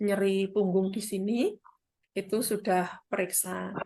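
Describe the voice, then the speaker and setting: Animated in tone, a woman with a Central Javanese accent speaks at a medium pitch. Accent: Central Javanese Indonesian. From Central Java, Kendal. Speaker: midwife and business partner. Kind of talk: testimony.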